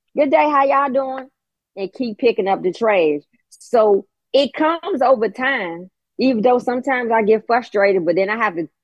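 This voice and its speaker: At a moderate pace, a woman talks with lively intonation in a normal speaking voice. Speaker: call-in participant. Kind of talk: testimony.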